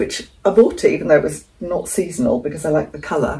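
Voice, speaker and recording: A woman's somewhat breathy, dark, mellow tone with an English accent, lively intonation and a fairly quick pace. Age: 60s. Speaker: frugal living vlogger. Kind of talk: casual vlog talk. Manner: chatty, conversational.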